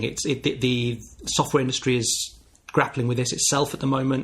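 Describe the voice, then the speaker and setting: This man's voice is somewhat breathy. His pitch stays in the medium range. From northern England, Wirral near Liverpool. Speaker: podcast host. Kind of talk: podcast monologue.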